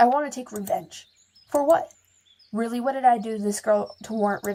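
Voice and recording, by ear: Reading aloud in a natural voice, with ordinary pitch variation, against a quiet background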